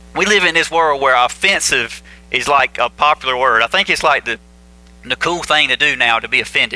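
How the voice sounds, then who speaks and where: With music playing in the background, the speaker talks in a Southern US accent with ordinary pitch variation. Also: man, fairly high pitch for a man, fairly quick pace, dry, close sound with no echo. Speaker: pastor. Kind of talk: sermon. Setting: church. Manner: casual, conversational.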